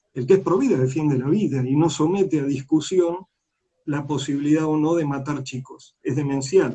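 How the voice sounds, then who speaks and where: This man's voice is fairly high, with a dark, mellow tone and a somewhat breathy quality. He talks fairly quickly with fairly even intonation. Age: 60s. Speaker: politician. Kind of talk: interview. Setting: online live stream.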